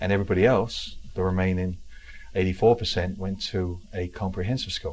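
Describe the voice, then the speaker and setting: In an English accent, a man speaks with a very deep, low pitch. His pace is fairly quick and his intonation fairly even. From South London, England (Wimbledon). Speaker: real estate keynote speaker and author. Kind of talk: interview. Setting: talk show.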